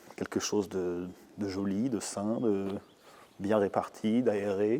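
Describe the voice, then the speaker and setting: Very slowly, a man talks at a fairly low pitch with fairly even intonation. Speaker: winemaker. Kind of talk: interview.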